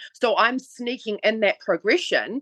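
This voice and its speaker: Speaking at a fairly slow pace, a woman with a New Zealand accent uses ordinary pitch variation. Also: dry, close sound with no echo. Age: 40s. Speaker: online fitness trainer. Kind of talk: interview. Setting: podcast.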